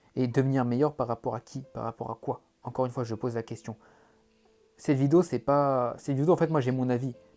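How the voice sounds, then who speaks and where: A man's voice comes at a fairly quick pace. Music sits behind it. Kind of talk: monologue to camera. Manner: fast; animated.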